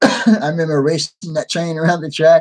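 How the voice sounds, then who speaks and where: With an American accent, the voice has a dry, close sound with no echo. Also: man. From New York. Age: 60s. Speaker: hobby channel host, model trains. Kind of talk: live stream chat with viewers. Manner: casual, conversational.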